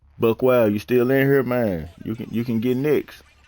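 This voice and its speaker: Using a normal speaking voice, a man talks at a fairly slow pace with fairly even intonation. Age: 30s. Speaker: video game streamer. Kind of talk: casual gaming chat. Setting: live stream.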